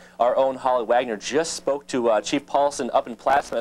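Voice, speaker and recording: Here is a man with a normal speaking voice at a medium pitch. His intonation stays fairly even at a moderate pace. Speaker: TV news reporter. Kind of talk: TV news report.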